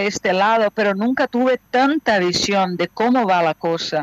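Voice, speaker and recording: A woman in a Portuguese accent speaks with ordinary pitch variation, and the sound is dry and close with no echo. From Brazil, Rio de Janeiro. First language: Portuguese (speaking Spanish). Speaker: actress, director and casting coach. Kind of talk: remote radio interview. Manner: halting.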